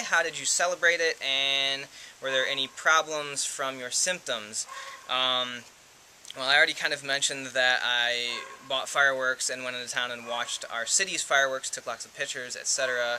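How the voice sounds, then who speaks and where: A man's voice carries fairly even intonation against noticeable background noise. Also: medium pitch for a man. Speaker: vlogger with dysautonomia. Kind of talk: casual talk to camera. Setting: outdoors. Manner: fast.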